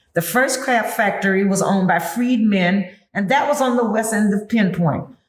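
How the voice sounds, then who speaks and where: There's audible room echo as a woman talks at a moderate pace. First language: Gullah. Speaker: historical interpreter, tour guide. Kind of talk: interview, explaining to a visitor. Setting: on-site at a heritage museum.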